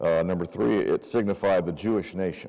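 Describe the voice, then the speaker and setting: A man's very deep, low voice with vocal fry, a dark, mellow tone, ordinary pitch variation and a moderate pace. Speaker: Bible class teacher. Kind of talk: Bible class lecture. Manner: loud; casual, many fillers.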